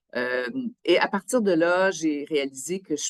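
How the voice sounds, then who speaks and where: A woman with a Quebec accent, very deep and low in pitch, at a very slow pace, in a dry, close sound with no echo. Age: 60s. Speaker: biosafety officer, scientist. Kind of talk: interview testimony. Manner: hesitant, with fillers.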